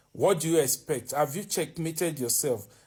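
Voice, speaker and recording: With a Nigerian accent, a man speaks at a high pitch and a moderate pace, his intonation lively. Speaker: vlogger. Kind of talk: opinion monologue. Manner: animated; halting.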